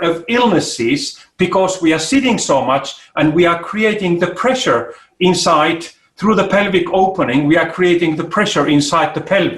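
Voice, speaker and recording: A man with a high pitch speaks at a moderate pace, with audible room echo. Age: 60s. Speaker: ergonomics expert and inventor. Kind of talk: interview. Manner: halting.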